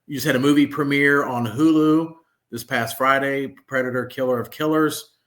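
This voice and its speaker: He is a man with a plain, everyday voice, pitched fairly high. His pace is moderate, and his intonation stays fairly even. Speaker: podcast host. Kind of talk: podcast interview, casual talk.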